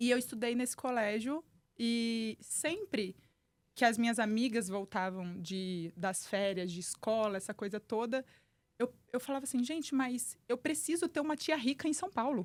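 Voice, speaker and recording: Her pitch fairly high and her intonation lively, a woman talks at a moderate pace. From Brazil, Volta Redonda, interior of Rio de Janeiro state. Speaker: entrepreneur and human performance specialist. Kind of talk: podcast interview.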